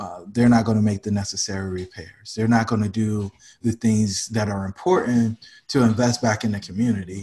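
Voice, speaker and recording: A man with an American accent speaks at a moderate pace in a fairly low, somewhat breathy voice. His intonation stays fairly even. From North Carolina, Fayetteville. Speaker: real estate investor. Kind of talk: interview. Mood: friendly, smiling at times. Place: home room. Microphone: webcam.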